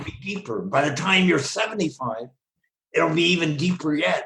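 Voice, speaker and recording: Bright and sharp in tone, a man talks at a moderate pace with vocal fry and very wide pitch swings. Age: 80s+. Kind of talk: interview conversation. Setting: video call.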